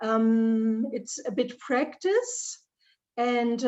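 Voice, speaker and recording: With a German accent, a woman talks in a fairly high voice with fairly even intonation. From Germany. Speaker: leadership trainer. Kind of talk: Q&A answer. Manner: halting, searching for words.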